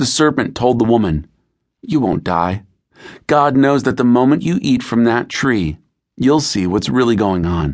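Using an ordinary speaking voice, a man of medium pitch talks at a fairly slow pace with lively intonation. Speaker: audiobook narrator. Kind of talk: audiobook narration of scripture and devotional prompts. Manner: measured, calm, reverent; clear, unhurried, with a warm, earnest tone.

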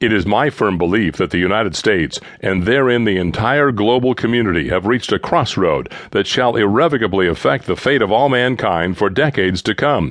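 An ordinary speaking voice at a fairly quick pace, with lively intonation, very even loudness and hardly any pauses. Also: man, fairly low pitch for a man. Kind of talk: audiobook narration of a political speech. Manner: formal, earnest and oratorical, with measured, sweeping delivery.

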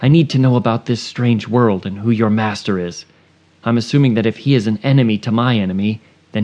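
Pitch varies in an ordinary way as the text is read aloud in a natural voice.

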